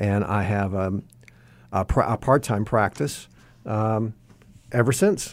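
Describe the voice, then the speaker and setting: A very slow, fairly low-pitched man's voice with an American accent, ordinary pitch variation, and long, frequent pauses, on a very clean recording with a silent background. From Indiana, US Midwest. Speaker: home builder and counselor, author. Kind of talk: radio interview, personal testimony.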